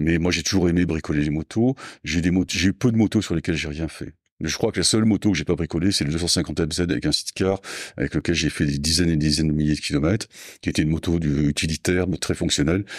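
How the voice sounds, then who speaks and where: In a very clean, dry, close recording with a silent background and no echo, a man with a very deep, low pitch speaks at a very fast pace with ordinary pitch variation. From southwest France, Landes. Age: 60s. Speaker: motorcycle parts business owner. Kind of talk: casual interview. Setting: company premises.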